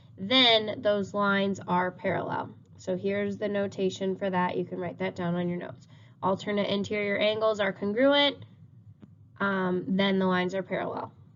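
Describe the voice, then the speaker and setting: This woman has an ordinary speaking voice at a medium pitch. Her intonation is fairly even and her pace moderate. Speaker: math teacher. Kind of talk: recorded lesson.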